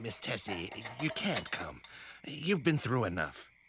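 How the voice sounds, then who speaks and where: A man speaks fairly slowly in a cartoonish character voice, his medium pitch swinging very widely up and down. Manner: loud, blustery.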